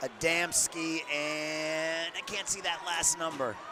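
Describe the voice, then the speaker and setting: A man at a fairly high pitch, fairly even intonation and a very slow pace. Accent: slight New England. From New England, Boston. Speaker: sports play-by-play announcer. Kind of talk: live commentary.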